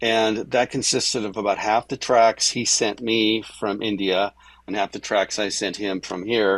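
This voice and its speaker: A normal speaking voice from a man, fairly low-pitched with fairly even intonation, in a dry, close sound with no echo. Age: 60s. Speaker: music producer and multi-instrumentalist. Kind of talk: interview.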